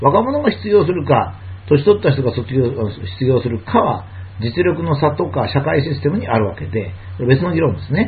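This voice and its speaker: A man at medium pitch swings very widely in pitch as he talks at a moderate pace, with audible room echo and noticeable background noise. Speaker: lecturer and commentator. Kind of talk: monologue lecture.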